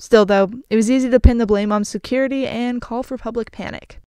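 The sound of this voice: At a fairly quick pace, a woman talks with a fairly high pitch and a slightly mellow tone.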